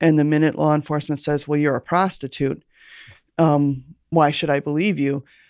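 An American accent at a moderate pace with fairly even intonation, dry and close with no echo, on a very clean recording with a silent background. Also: woman. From Milwaukee, Wisconsin. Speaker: former police lieutenant. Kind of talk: interview.

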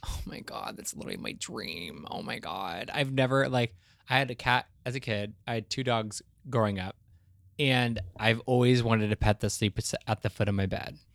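A man with a plain, everyday voice talks at a moderate pace with ordinary pitch variation in a dry, close sound with no echo. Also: medium pitch for a man. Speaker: podcast co-host. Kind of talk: casual chat.

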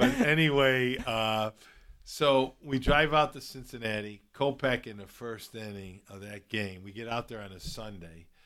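A man with a Chicago accent speaks at a fairly slow pace in a bright, sharp tone, with ordinary pitch variation and big swings in loudness. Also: medium pitch for a man. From Chicago, South Side. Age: 60s. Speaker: baseball fan and former college player. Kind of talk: casual chat.

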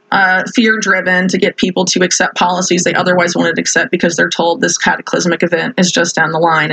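A woman talks at a fairly quick pace, her pitch medium with ordinary variation. Noticeable background noise runs behind her. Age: 30s. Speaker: investigative journalist. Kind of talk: interview. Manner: halting, many fillers.

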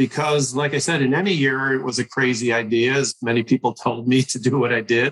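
A plain, everyday voice at a fairly quick pace, with fairly even intonation. The sound is dry and close, with no echo. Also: man, medium pitch for a man. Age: 60s. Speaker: physician and patient safety leader. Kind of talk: interview.

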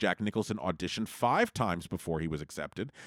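This man has an ordinary speaking voice, with lively intonation and a fairly quick pace. The recording is very clean with a silent background, and the sound is dry and close with no echo. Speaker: podcast host. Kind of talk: pitchman; podcast patreon pitch, friendly and promotional. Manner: upbeat, salesy, coaxing.

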